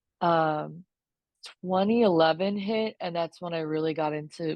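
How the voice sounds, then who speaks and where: An ordinary speaking voice from a woman with an American accent, fairly low in pitch, with fairly even intonation. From Florida. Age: 30s. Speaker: sports photographer. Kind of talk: podcast interview.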